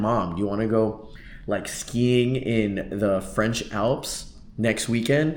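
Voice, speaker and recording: The voice carries audible room echo. Its pitch varies in an ordinary way. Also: man. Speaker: vlogger and real estate agent. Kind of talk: casual vlog monologue. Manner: casual, filler-heavy.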